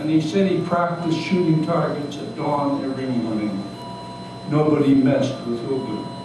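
A man talks at a moderate pace with ordinary pitch variation, in strong room echo with noticeable background noise. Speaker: retired doctor. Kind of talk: memoir reading to live audience. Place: cafe. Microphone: camera far.

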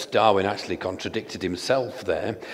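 A man at a moderate pace, with normal pitch variation. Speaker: preacher. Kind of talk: sermon. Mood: earnest, argumentative. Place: church. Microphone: headset.

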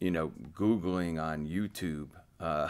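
Very deep and low, a man's voice holds fairly even intonation. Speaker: head coach. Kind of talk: interview answer. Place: meeting room.

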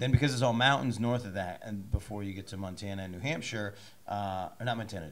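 A man with a fairly low pitch uses a normal speaking voice, and his pitch varies in an ordinary way. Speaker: podcast host. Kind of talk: casual interview.

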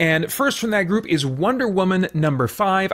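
The speech comes at a fairly slow pace with lively intonation. The background is quiet. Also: man. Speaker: comics reviewer. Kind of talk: commentary. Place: home room.

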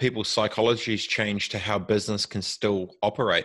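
In a New Zealand accent, a man talks at a fairly quick pace with fairly low pitch and fairly even intonation against a quiet background. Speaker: tech entrepreneur. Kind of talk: interview. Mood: reflective, opinionated. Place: home room. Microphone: studio mic.

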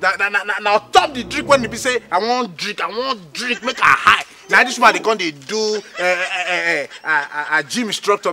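A man uses a raised, projected voice over noticeable background noise. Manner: acted tipsy, stammering, loud rant. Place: street.

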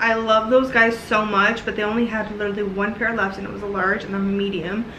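Light background noise and audible room echo surround a woman speaking at a fairly quick pace. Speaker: vlogger. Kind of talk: casual vlog chat. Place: kitchen. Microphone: camera far.

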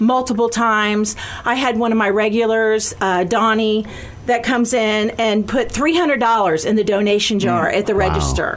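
A woman speaks at a moderate pace. Her loudness stays very even, with ordinary pitch variation. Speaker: guest. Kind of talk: interview answer. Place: studio.

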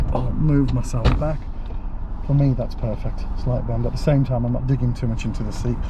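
There is noticeable background noise, but the sound is dry with no echo. A man speaks at a fairly quick pace. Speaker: driving instructor. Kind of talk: tutorial. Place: car. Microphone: camera far.

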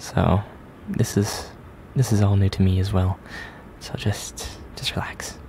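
Someone whispers at a fairly slow pace. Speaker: roleplay narrator. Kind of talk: soft hypnosis roleplay narration. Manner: soft, hushed ASMR roleplay voice.

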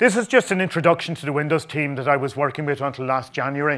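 A man speaks with fairly even intonation over a quiet background. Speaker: conference presenter. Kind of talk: conference talk. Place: hall.

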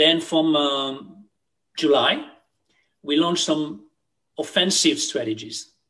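The background is quiet as a man speaks. He has a fairly high pitch and a moderate pace. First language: French. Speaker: retail CEO. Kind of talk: interview. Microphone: webcam.

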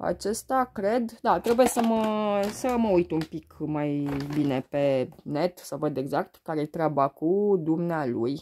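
A woman's fairly low pitch with very wide pitch swings, a dark, mellow tone and a very slow pace over light background noise. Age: 30s. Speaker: beauty and perfume vlogger; beauty vlogger. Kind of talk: casual unboxing vlog. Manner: hesitant, many fillers. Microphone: phone near.

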